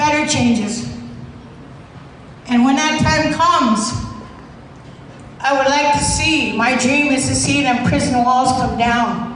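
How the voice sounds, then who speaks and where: A high-pitched woman at a very slow pace with long, frequent pauses, very even loudness and fairly even intonation, plus audible room echo and noticeable background noise. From Alberta, Canada (Cree, Maskwacis). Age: 60s. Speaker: former prisoner, activist. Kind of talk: award acceptance speech. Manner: hesitant, many fillers.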